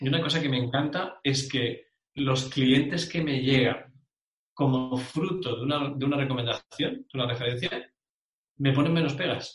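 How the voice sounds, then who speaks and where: A man's somewhat breathy, fairly high voice, with fairly even intonation and a moderate pace. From Spain, Bilbao (Basque Country). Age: 40s. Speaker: referral marketing specialist. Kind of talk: interview.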